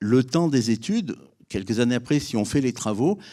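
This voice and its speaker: Medium-pitched man with a dark, mellow tone and ordinary pitch variation, at a fairly quick pace, in a very clean recording with a silent background. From France, Drôme (Valence area). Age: 60s. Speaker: business owner, civil engineering. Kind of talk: testimony.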